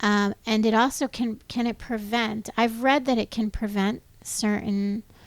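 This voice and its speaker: A woman's fairly high, monotone voice with flat intonation, a fairly slow pace, hardly any pauses and very even loudness, in a very clean recording with a silent background. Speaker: podcast host. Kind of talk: casual podcast conversation.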